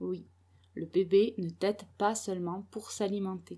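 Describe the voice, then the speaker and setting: Her tone is dark and mellow at a medium pitch. This woman talks at a very slow pace. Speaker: parenting blogger and mother. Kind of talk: solo podcast monologue. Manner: soft-spoken, quiet so the baby keeps sleeping; hesitant, many filler sounds.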